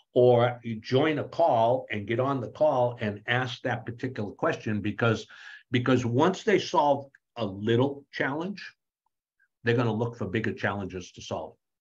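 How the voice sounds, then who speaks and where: Somewhat breathy, a man talks at a medium pitch. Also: ordinary pitch variation, moderate pace. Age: 70s. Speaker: author and AI speaker. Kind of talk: interview. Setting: video call. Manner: animated; halting, repeats words.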